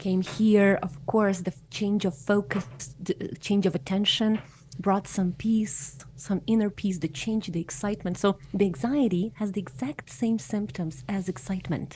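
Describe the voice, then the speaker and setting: Somewhat breathy and pitched in the middle range, a woman talks at a fairly slow pace with lively intonation. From Ukraine, small town. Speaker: hypnotherapist. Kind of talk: podcast interview.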